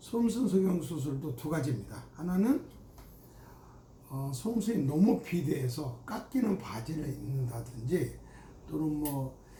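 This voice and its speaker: A man with a fairly high voice speaks very slowly, and the room echo is audible. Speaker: gynecologist. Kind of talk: medical explainer talk. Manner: casual with fillers.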